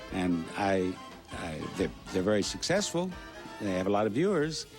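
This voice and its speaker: Music plays in the background. The speaker's intonation is lively. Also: man. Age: 80s+. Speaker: game show host; war veteran. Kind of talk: interview answer.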